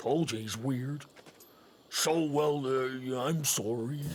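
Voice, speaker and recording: In a cartoonish character voice, a man at medium pitch speaks very slowly with fairly even intonation. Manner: blunt, folksy.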